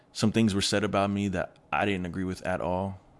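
A man with an American accent, fairly low pitch and a fairly quick pace. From US Pacific Northwest, Kent near Seattle, Washington. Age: 20s. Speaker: college basketball player. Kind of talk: interview, casual chat. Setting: studio.

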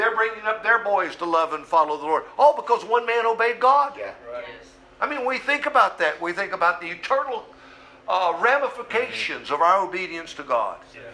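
A man with a high pitch uses a raised, projected voice at a fairly quick pace with lively intonation. His loudness swings a lot, and noticeable background noise is present. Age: 60s. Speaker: pastor. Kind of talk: sermon.

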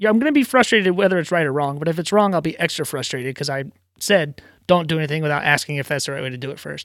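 On a very clean recording with a silent background, a man speaks very fast at a fairly high pitch with ordinary pitch variation. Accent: American. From Virginia, US. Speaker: theater stage carpenter and automation technician. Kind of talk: casual chat.

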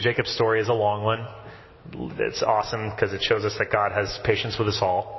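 With an American accent, a man speaks at medium pitch and a moderate pace. Noticeable background noise runs underneath. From US South (Texas and Tennessee). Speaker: priest. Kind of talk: sermon. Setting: church.

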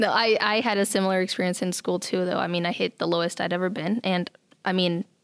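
In an American accent, a woman with an ordinary speaking voice and medium pitch talks at a fairly quick pace with fairly even intonation, on a very clean recording with a silent background and a dry, close sound with no echo. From Nebraska, US Midwest. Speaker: artist and arts council worker. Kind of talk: casual interview chat. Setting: studio.

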